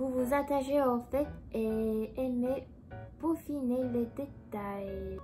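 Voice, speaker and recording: Music sounds in the background. Over it, a woman talks very slowly. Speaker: YouTuber. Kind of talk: casual chat. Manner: calm.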